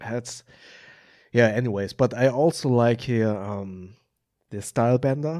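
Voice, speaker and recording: Delivered at a fairly slow pace with a German accent, the voice has a dark, mellow tone and ordinary pitch variation in a very clean recording with a silent background. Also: man, medium pitch for a man. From Germany, Hamburg. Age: 30s. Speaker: film editor and YouTuber. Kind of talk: casual interview chat. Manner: hesitant, many filler ums.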